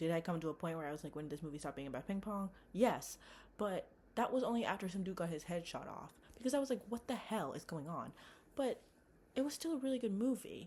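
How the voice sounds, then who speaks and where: At a very fast pace, a woman speaks at a medium pitch with very wide pitch swings. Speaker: movie reviewer vlogger. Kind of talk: casual monologue vlog. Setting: home bedroom. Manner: animated. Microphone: laptop mic, poor audio.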